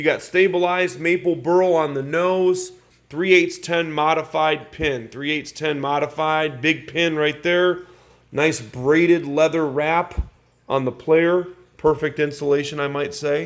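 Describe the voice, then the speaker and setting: With a Chicago accent, a man speaks at a fairly high pitch and fairly slow pace with fairly even intonation. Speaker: pool cue dealer. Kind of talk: product showcase video.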